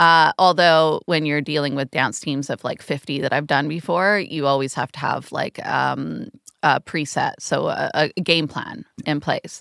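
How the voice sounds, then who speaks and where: Dry and close with no echo, a very clean recording with a silent background captures a woman speaking at a very deep, low pitch with vocal fry and fairly even intonation. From Canada. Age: middle-aged. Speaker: choreographer. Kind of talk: casual chat.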